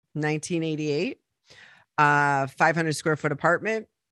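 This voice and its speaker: A woman with a very deep, low pitch at a fairly quick pace. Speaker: entrepreneur and author. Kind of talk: interview conversation.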